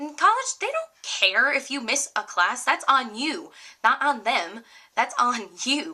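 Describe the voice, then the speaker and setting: A woman's raised, projected voice, high in pitch, with very wide pitch swings and a fairly slow pace. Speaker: college student. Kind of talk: casual talk to camera.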